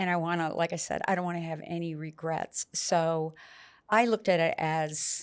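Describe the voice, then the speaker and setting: On a very clean recording with a silent background, a woman uses a normal speaking voice, fairly low in pitch, at a moderate pace with fairly even intonation. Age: 60s. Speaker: patient sharing experience. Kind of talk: interview.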